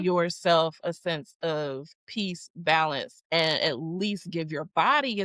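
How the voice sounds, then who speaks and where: With an American accent, a woman speaks at a very slow pace in a dry, close sound with no echo. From Philadelphia, United States. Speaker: breathwork and rest coach. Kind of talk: podcast guest interview answer. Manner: upbeat, enthusiastic.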